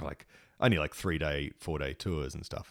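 A man speaks at a fairly quick pace in an Australian accent. His very deep, low voice has vocal fry. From Sydney, Sutherland Shire. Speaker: punk guitarist and radio presenter. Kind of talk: casual chat.

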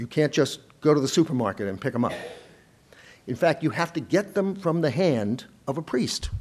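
With an American accent, a man talks at a moderate pace in a fairly high pitch, using lively intonation, vocal fry and long, frequent pauses. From US Northeast, Boston area. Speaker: historian, professor. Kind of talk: lecture; Q&A answers. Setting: lecture hall with audience.

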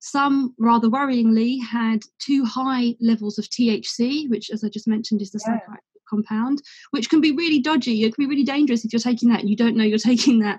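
A woman with an English accent speaks at a fairly quick pace. Her pitch is fairly high and her intonation fairly even. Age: 30s. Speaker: CBD company co-founder. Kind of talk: casual interview.

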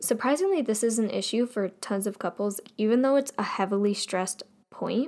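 On a very clean recording with a silent background, a woman speaks in an ordinary speaking voice at a moderate pace, her fairly high pitch showing ordinary pitch variation. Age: young. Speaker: podcast host. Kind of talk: casual monologue.

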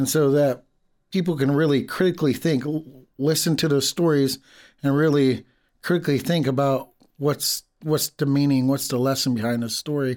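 At a moderate pace, a man in an ordinary speaking voice talks at a fairly high pitch with very even loudness on a very clean recording with a silent background. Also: fairly even intonation. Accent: American. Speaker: language teacher. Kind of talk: casual chat.

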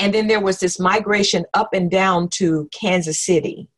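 A woman with an American accent talks at a medium pitch and a fairly slow pace. Her intonation is fairly even. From Oklahoma, US South. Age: 60s. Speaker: retired professor of spiritual formation and preacher. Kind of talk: casual interview. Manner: halting, with fillers and repetitions.

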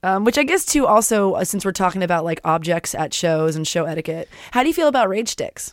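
Speaking with an American accent at a fairly quick pace, a woman of medium pitch has an unremarkable speaking voice and lively intonation. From Florida. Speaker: podcast host. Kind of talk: casual chat.

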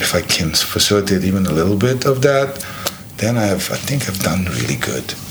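A man's fairly low voice at a fairly quick pace, lively in intonation, over noticeable background noise. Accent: Serbian. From Serbia (Belgrade). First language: Serbian. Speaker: bar owner. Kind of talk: casual chat. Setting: penthouse apartment in Sydney.

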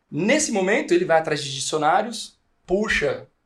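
Here a man talks at a moderate pace. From Brazil, interior of São Paulo state. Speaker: podcast host and company CEO. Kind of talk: casual chat. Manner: animated.

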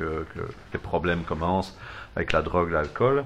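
This man speaks with a Belgian accent. His pitch is very deep and low. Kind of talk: casual chat.

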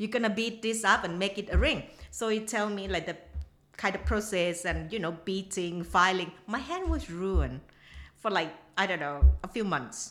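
Speaking with a Thai accent, a woman uses vocal fry, a medium pitch, ordinary pitch variation and a moderate pace. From southern Thailand (Nakhon Si Thammarat). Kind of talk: casual chat. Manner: halting.

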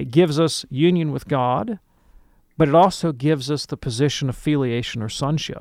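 Speaking at a moderate pace, a man with a plain, everyday voice uses a fairly high pitch and ordinary pitch variation. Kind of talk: radio call-in Q&A.

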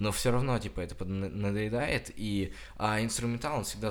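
A man talking at a moderate pace. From Russia, Krasnodar Krai (Kuban). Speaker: student podcaster. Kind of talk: casual chat.

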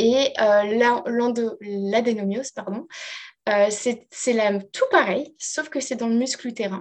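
Her pitch is fairly high and varies in an ordinary way. The woman speaks at a fairly slow pace. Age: 30s. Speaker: life coach. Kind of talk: interview testimony.

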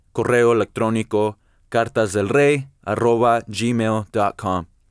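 A man at medium pitch speaks fairly slowly with fairly even intonation, the sound dry and close with no echo on a very clean recording with a silent background. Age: 20s. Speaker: podcast host, church member. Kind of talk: casual religious podcast monologue. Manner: halting, many fillers.

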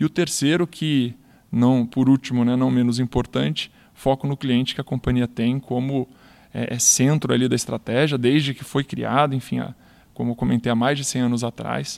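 Here is a plain, everyday voice with fairly even intonation. It moves at a moderate speed on a very clean recording with a silent background. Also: man, medium pitch for a man. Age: 30s. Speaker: retail performance manager. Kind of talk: interview podcast.

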